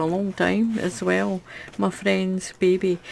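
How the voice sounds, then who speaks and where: A woman with a Scottish accent speaks at a medium pitch on a very clean recording with a silent background. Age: 60s. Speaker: crochet YouTuber. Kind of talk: casual unboxing chat.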